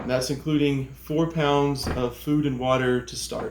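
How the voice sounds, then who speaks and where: The man here speaks with a fairly high pitch. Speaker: hiking vlogger. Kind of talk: gear tutorial vlog.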